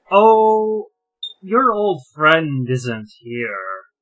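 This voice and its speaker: Putting on a character voice, a man speaks in a fairly high pitch with very wide pitch swings. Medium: actual play.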